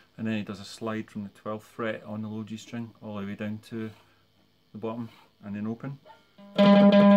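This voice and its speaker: Over faint background music, a man speaks at a moderate pace in a fairly low, monotone voice with flat intonation. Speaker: guitar teacher. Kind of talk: tutorial. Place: home room. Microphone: phone near.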